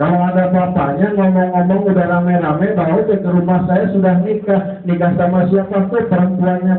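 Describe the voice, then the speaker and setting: Over music in the background, a man with a high pitch speaks at a fairly quick pace with hardly any pauses, his monotone, flat voice at very even loudness. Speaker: Islamic preacher. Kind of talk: sermon.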